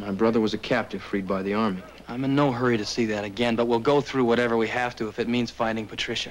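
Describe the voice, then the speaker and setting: A man talks at a very fast pace with fairly even intonation. Light background noise can be heard. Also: hardly any pauses. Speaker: actor as a frontier brother. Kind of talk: drama dialogue. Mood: earnest, pleading. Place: office.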